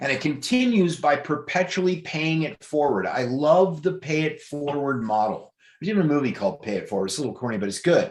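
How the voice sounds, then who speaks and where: An animated tone from a man, with lively intonation at a moderate pace. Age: 60s. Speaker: presenter of a gifting scheme. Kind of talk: sales pitch.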